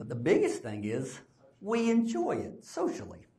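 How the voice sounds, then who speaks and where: A man speaks at a fairly slow pace in a somewhat breathy voice with very wide pitch swings. Audible room echo surrounds him. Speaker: speech pathologist. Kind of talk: conference lecture. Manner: casual, conversational.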